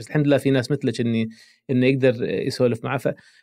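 Speaking with a Kuwaiti accent, a man talks at a very fast pace and medium pitch with fairly even intonation. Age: 50s. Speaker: psychologist and podcast host. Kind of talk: casual interview.

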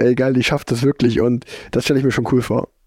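The delivery has monotone, flat intonation. It moves at a moderate pace. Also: man. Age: 30s. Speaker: professional road cyclist. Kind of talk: casual interview chat. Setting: remote call from home.

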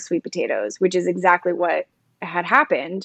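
An unremarkable speaking voice, a woman talks at a medium pitch and a moderate pace in an American accent, the sound dry and close with no echo and a quiet background. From South Jersey, near Philadelphia. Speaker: writer and poet. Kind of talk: casual interview.

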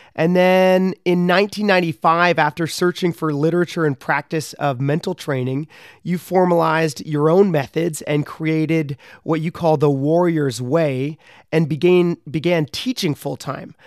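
A man uses a plain, everyday voice, talking at a moderate pace. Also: fairly high pitch for a man. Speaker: podcast host and professional athlete. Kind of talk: interview.

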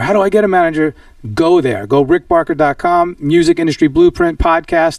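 In a New York accent, the speaker keeps a moderate pace and an animated tone. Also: man. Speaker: podcast host. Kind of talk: interview.

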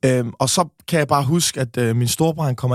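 A somewhat breathy voice at a very fast pace, with ordinary pitch variation and a dry, close sound with no echo. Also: man. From Denmark. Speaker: podcaster. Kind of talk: casual interview.

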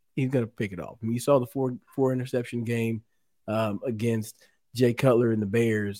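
This man has a Texan accent and a dark, mellow tone. He talks at a fairly quick pace. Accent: Texan American. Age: 40s. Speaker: former pro football player. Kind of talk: casual chat.

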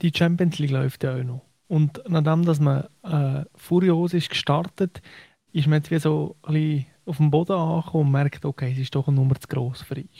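A man's dark, mellow voice, fairly high in pitch, at a moderate pace, with a dry, close sound and no echo. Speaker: football journalist. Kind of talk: casual chat. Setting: radio studio, remote.

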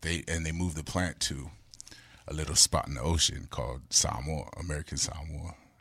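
Showing vocal fry, a man with a very deep, low pitch talks at a fairly quick pace with fairly even intonation. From Los Angeles, of Samoan family (born in Hawaii). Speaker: former radio host and MC. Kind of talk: casual interview chat. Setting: studio. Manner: casual, repetitive with stammered restarts.

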